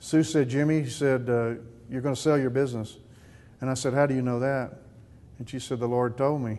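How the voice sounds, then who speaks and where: With a Texan accent, a man speaks at a moderate pace in a dark, mellow tone, keeping his intonation fairly even. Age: 60s. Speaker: business owner. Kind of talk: testimony. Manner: halting.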